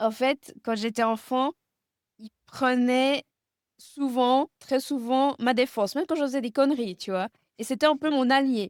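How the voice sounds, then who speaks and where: Speaking very slowly at a high pitch, a woman leaves long, frequent pauses, with ordinary pitch variation and big swings in loudness. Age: 30s. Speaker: guest speaking about chronic illness and grief. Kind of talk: interview about personal grief. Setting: video podcast interview. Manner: halting, many hesitations.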